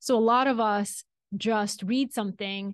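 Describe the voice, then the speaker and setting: A woman's fairly high voice in a Bulgarian accent, dry and close with no echo, over a quiet background. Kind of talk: interview conversation.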